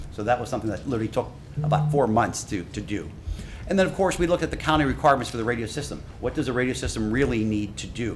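Over noticeable background noise and audible room echo, a man speaks at a very fast pace. His medium-pitched voice has lively intonation. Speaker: radio system consultant. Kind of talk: technical presentation.

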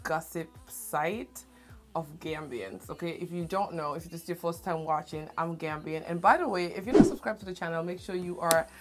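Clear music plays in the background as a woman speaks at a moderate pace. Her pitch is fairly low and her intonation fairly even. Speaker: channel host. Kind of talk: casual vlog chat. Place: home room.

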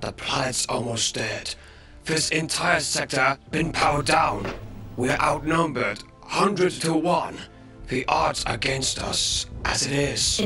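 A man speaks in a put-on character voice, fairly high-pitched, at a fairly slow pace. Clear music plays in the background. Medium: fan dub. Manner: worried, blunt.

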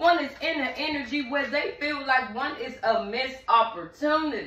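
Audible room echo surrounds a woman's high voice, which shows ordinary pitch variation. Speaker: tarot reader. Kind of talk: tarot reading commentary. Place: home room.

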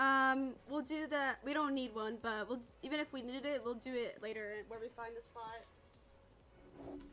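A woman speaks in a raised, projected voice, high-pitched and bright and sharp in tone. Her intonation is fairly even, with hardly any pauses, over light background noise. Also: moderate pace. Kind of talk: casual chat. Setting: online multiplayer game stream.

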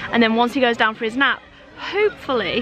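Over noticeable background noise, a woman talks at a very fast pace with fairly even intonation in a dry sound with no echo. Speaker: family vlogger. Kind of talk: casual vlog chat. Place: open country. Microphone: phone near.

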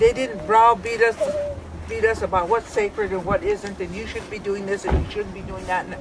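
Over noticeable background noise, a woman with an American accent talks at a moderate pace in a dry sound with no echo. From US Great Plains. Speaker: elder and camp coordinator. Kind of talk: address to a gathering. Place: open country.

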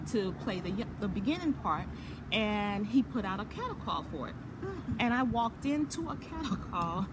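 Behind a woman talking at a moderate pace there is noticeable background noise. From US Virgin Islands. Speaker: actress and entrepreneur. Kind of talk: casual interview. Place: garden. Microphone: phone near.

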